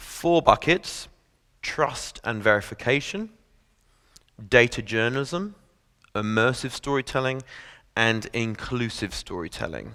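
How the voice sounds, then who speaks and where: Against a silent background in a very clean recording, a man of medium pitch speaks fairly slowly with a bright, sharp tone, lively intonation and long, frequent pauses. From England. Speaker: tech company news partnerships lead, former journalist. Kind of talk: presentation to an audience.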